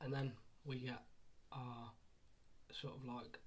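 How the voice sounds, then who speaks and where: Quiet speech at a moderate pace. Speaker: anime manga reviewer. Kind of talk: casual video review. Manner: halting, many fillers.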